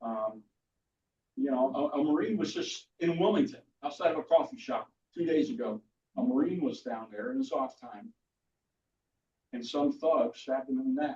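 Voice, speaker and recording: A man's high-pitched voice with a dark, mellow tone, very wide pitch swings and long, frequent pauses. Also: moderate pace. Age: 60s. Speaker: military veteran and militia leader. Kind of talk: speech to a political meeting. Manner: hesitant, many fillers and restarts.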